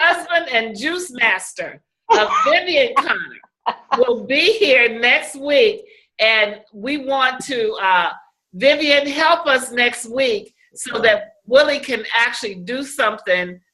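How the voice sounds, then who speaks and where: In a raised, projected voice, a woman speaks at a very slow pace with a high pitch, a bright, sharp tone and very wide pitch swings. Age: 60s. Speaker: life coach and show host. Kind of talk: casual chat.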